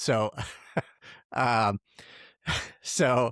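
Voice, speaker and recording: A man speaks at a fairly low pitch with fairly even intonation. The sound is dry and close with no echo, in a very clean recording with a silent background. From Tucson, Arizona. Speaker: podcast host. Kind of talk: podcast interview.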